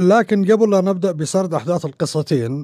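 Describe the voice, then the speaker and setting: A man's high-pitched, dark, mellow voice with a Syrian accent. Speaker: storyteller podcaster. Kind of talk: scripted storytelling narration.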